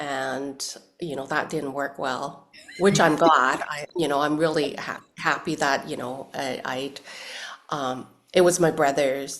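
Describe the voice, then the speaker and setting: The speaker's intonation is monotone and flat, at a fairly slow pace. Loudness swings widely from moment to moment. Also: woman, very deep, low pitch for a woman. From Hong Kong, grew up in Canada. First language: Cantonese. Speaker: actress. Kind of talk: interview. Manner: halting, many fillers.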